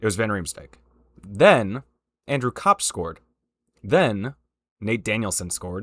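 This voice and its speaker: A man speaks at a moderate pace in a medium pitch, his intonation lively. The sound is dry and close with no echo, and the recording is very clean over a silent background. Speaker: hockey commentary youtuber. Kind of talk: casual rant. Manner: animated.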